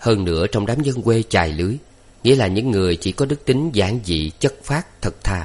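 Lively intonation in plain reading aloud

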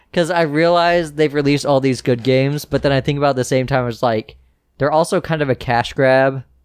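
A man has an unremarkable speaking voice, fairly high for a man. He talks at a fairly quick pace with fairly even intonation. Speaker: podcast host. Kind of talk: casual chat.

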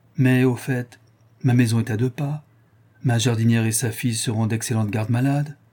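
The delivery is plain reading aloud, and the intonation stays fairly even.

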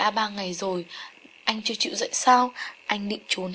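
This is an unforced reading voice. The pitch varies in an ordinary way.

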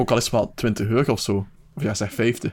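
A man talks at a fast pace, his fairly low pitch held in fairly even intonation.

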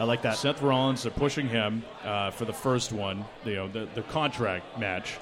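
A man speaks at a medium pitch with ordinary pitch variation and hardly any pauses. Noticeable background noise runs behind him. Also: moderate pace. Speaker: sports radio personality and PA announcer. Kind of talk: live podcast chat. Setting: bar with live audience.

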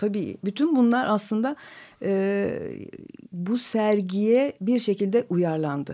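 On a very clean recording with a silent background, a woman of medium pitch speaks at a very slow pace in a dark, mellow tone with ordinary pitch variation. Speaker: exhibition curator and book editor. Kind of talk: radio interview.

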